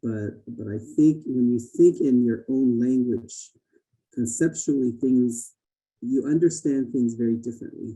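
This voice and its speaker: With a Navajo Nation accent, a man speaks in a dark, mellow tone and fairly even intonation. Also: medium pitch for a man, fairly slow pace. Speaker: Native education participant. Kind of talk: listening session comment. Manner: halting, many fillers and repeats.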